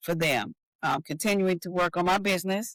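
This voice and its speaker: In a Southern US accent, the speaker goes at a moderate pace on a very clean recording with a silent background. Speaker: author and designer. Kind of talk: interview.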